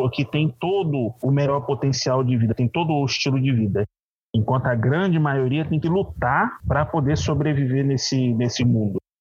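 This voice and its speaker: Somewhat breathy, a man at a medium pitch talks at a moderate pace with lively intonation. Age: 30s. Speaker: tabletop RPG game master. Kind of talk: casual interview. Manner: halting, many repetitions.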